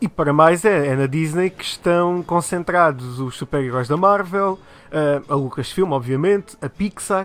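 In a European Portuguese accent, a man speaks at a fairly slow pace. His pitch is high, with ordinary variation. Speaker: TV show host. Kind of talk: casual chat.

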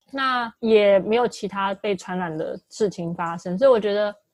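The recording has a dry, close sound with no echo. A woman speaks in a plain, everyday voice at a medium pitch with ordinary variation. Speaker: podcast co-host. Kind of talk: casual chat.

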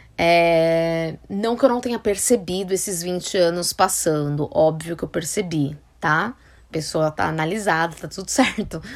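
In a very clean recording with a silent background, a woman with a fairly low pitch speaks in an animated tone at a fairly slow pace. Her pitch variation is ordinary. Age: 30s. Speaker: podcast host, style consultant. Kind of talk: casual monologue.

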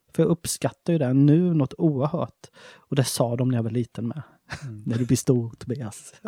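In a dry, close sound with no echo, a man speaks at a moderate pace with a medium pitch, ordinary pitch variation, and a somewhat breathy quality. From Småland, Sweden. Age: 40s. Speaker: chef and shop owner. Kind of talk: casual interview.

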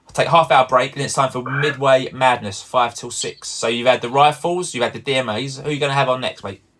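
This man has an ordinary speaking voice, talking at a fairly quick pace with fairly even intonation. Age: 40s. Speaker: podcast host. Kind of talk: casual chat.

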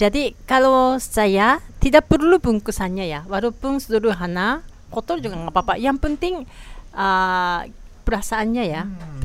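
Very wide pitch swings mark this voice with a Japanese accent. The pace is moderate. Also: woman, medium pitch for a woman. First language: Japanese (speaking Indonesian). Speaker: podcast host. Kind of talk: casual chat. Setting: small restaurant.

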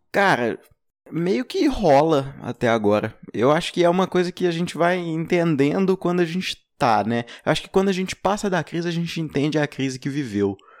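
In a normal speaking voice, a man talks at a moderate pace with a fairly high pitch and lively intonation, the sound dry and close with no echo. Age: young. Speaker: podcast host. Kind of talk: casual chat.

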